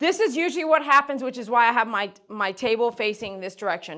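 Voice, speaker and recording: Very fast delivery with very wide pitch swings. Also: woman. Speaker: dog groomer livestreaming. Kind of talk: live stream tutorial. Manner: loud.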